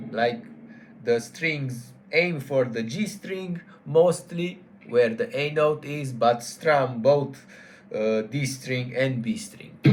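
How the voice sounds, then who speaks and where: A man with a non-native accent speaks at a very slow pace, somewhat breathy, with a fairly high pitch and lively intonation. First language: not English. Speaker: guitar teacher. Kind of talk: tutorial. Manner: halting, with self-corrections.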